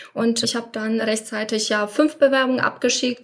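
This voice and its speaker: A woman with a Polish accent speaks at a moderate pace in a fairly high, monotone, flat voice, with noticeable background noise behind her. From Poland. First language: Polish (speaking German). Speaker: former coaching client, insurance professional. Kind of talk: interview.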